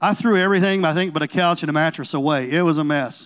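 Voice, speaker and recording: In an animated tone, a man with a Southern US accent talks at a fairly quick pace. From Tennessee. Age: 40s. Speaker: pastor. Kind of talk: sermon. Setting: church.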